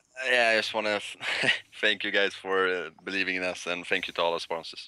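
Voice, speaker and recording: A man with a very deep, low voice speaks at a fairly quick pace with fairly even intonation. Noticeable background noise is present. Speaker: professional esports player. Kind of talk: post-match interview. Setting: Skype call. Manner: halting.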